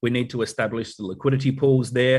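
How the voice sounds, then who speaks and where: Talking at a fairly quick pace, a man with an Australian accent has a medium pitch and a somewhat breathy voice. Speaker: company advisor presenting updates. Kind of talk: corporate online meeting update. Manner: elegant, proper.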